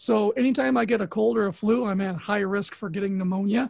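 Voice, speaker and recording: A man's high-pitched voice, fairly quick in pace and lively in intonation, against a quiet background. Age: 40s. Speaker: comic book artist. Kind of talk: casual chat.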